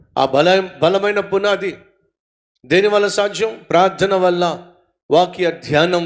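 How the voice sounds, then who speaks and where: The man's voice sits high in pitch and stays very even in loudness. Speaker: pastor. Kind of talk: sermon.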